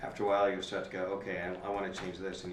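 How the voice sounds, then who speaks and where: A man with a very deep, low voice talks at a very fast pace, with audible room echo and noticeable background noise. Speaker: podcaster. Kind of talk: panel discussion.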